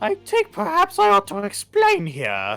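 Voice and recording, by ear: A female-sounding, put-on character voice goes at a moderate pace over faint music in the background.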